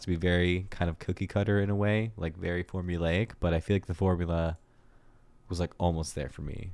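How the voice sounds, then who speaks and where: A man mumbles at a fairly quick pace in a very deep, low pitch. His intonation stays fairly even on a very clean recording with a silent background. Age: 30s. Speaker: music reviewer streamer. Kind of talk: livestream music review. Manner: mumbling; casual, filler-heavy.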